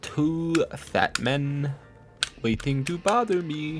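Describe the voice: A put-on character voice speaks at a very slow pace. Its pitch sits in the middle.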